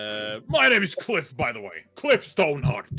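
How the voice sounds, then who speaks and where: A man puts on a pompous character voice, fairly high in pitch. His pitch swings very widely and his loudness shifts a great deal. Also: moderate pace. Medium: actual play. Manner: pompous, blustering.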